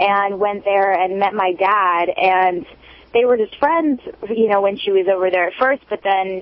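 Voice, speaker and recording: A woman with an American accent speaks at a medium pitch and a moderate pace, with ordinary pitch variation. Noticeable background noise is present. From Los Angeles, California. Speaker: musician. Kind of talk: interview, personal story. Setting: phone call. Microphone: cell phone line.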